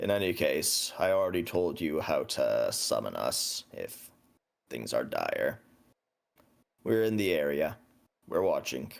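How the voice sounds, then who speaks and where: Using a put-on, raspy character voice, a man speaks at a fairly slow pace with long, frequent pauses. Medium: actual play. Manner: terse, calm.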